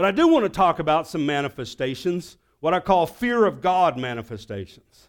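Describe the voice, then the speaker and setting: A man speaks at a moderate pace with a Southern US accent, his pitch high. The recording is very clean, with a silent background. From US South. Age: 60s. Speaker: pastor. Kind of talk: sermon.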